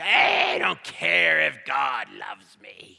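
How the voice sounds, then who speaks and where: A man shouts in a raspy, put-on character voice at a medium pitch. His pace is fairly slow. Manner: gruff, dismissive.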